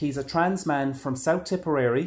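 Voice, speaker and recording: In a normal speaking voice, a man talks at a fairly slow pace and a fairly high pitch with ordinary pitch variation. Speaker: podcast host. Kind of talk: casual interview.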